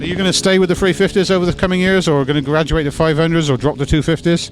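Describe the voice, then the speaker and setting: In a West Country accent, a man speaks at a very fast pace in a high pitch with fairly even intonation over noticeable background noise. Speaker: event interviewer. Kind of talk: interview.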